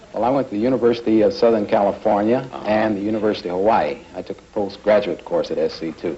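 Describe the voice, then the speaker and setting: Over noticeable background noise, a man with an American accent races along at a very fast pace with hardly any pauses, his pitch fairly low with ordinary variation. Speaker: insurance broker and delicatessen owner, game show contestant. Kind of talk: answering host's interview questions on a 1950s game show.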